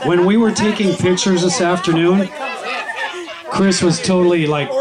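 Crowd noise can be heard behind a man speaking. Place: garden. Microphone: camera far.

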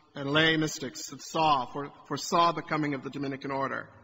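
Light background noise sits under a man's speech. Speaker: priest. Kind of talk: sermon. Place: church.

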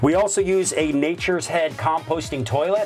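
With faint music behind him, a man talks at a moderate pace. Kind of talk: product tour walkthrough. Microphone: lapel.

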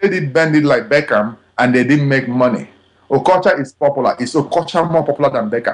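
A man speaks with a Nigerian accent. His pace is fairly quick, with ordinary pitch variation. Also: fairly high pitch for a man. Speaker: film director. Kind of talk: interview answer.

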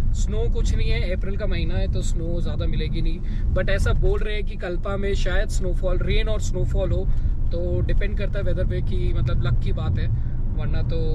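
A man at a moderate pace, in a dry sound with no echo, over loud background noise. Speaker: travel vlogger driving. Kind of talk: casual vlog chat. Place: car. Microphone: phone near.

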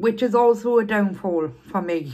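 This woman talks at a fairly slow pace. The background is quiet. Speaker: eating vlogger. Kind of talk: casual vlog chat. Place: home room. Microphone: phone near.

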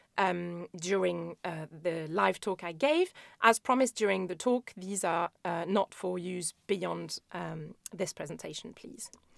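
Fairly slow and with hardly any pauses, a woman speaks in a fairly low voice with vocal fry, ordinary pitch variation and big swings in loudness. The sound is dry and close with no echo, on a very clean recording with a silent background. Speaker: epidemiology lecturer. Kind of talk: recorded conference talk.

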